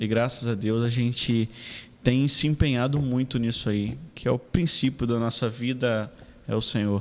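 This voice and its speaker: With an unremarkable speaking voice, a man talks at medium pitch and a moderate pace, his intonation fairly even. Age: 30s. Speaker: city councillor. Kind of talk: casual interview.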